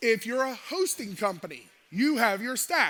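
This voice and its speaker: A man with an extremely high pitch and an American accent, in a raised, projected voice, with a bright, sharp, animated tone, lively intonation and a fairly slow pace. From United States. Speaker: cybersecurity expert. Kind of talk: conference talk, conversational. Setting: stage with audience.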